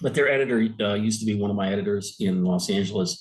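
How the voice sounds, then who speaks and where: Very fast, a man speaks at a fairly low pitch with ordinary pitch variation. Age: 60s. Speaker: retired sports editor. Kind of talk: interview. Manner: hesitant, many fillers and restarts.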